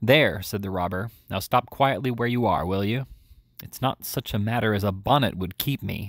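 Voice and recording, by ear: Pitch shifts in an ordinary way throughout. This is someone reading aloud in a natural voice.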